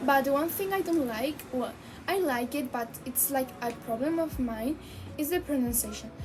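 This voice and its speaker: A woman speaks with a high pitch. Music plays in the background. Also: ordinary pitch variation, moderate pace. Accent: American. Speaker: language learner vlogger. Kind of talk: casual vlog monologue. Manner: halting with fillers in English.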